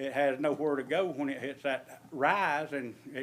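Speaking with an Alabama accent, a man keeps his fairly high voice on fairly even intonation. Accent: Southern US (Alabama). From US South, Alabama. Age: 60s. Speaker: resident speaking at public comment. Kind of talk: public comment at county meeting. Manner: halting, many fillers.

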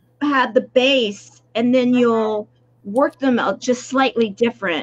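Her pitch high, a woman speaks with ordinary pitch variation. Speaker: show host. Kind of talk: interview. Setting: live video stream. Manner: enthusiastic. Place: home room.

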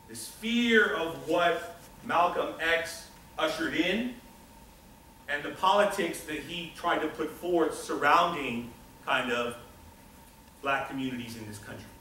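A man speaks at a fairly slow pace with long, frequent pauses, big swings in loudness and lively intonation. There is audible room echo and light background noise. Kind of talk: lecture. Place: classroom. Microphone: camera far.

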